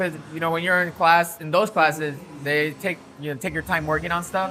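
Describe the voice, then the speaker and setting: Speaking with a Spanish accent, a man delivers his words at a fairly quick pace in a high pitch with fairly even intonation. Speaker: DJ and music producer. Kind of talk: casual interview chat. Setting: nightclub. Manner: casual, lots of filler words.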